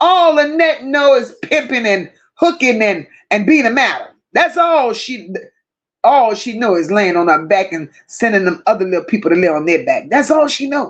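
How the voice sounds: A woman with a fairly high pitch speaks at a moderate pace, her voice making big pitch swings.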